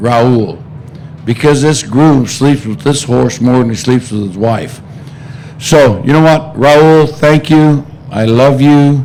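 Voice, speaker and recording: A man talks very slowly in a fairly high pitch with ordinary pitch variation. There is noticeable background noise and audible room echo. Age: 60s. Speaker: racehorse co-owner. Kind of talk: press conference.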